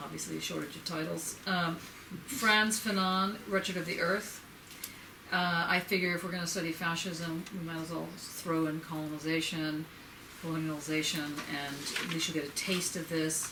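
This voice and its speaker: Amid noticeable background noise and audible room echo, a woman speaks with a fairly low pitch and fairly even intonation. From New York. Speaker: professor. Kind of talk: lecture. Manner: fast.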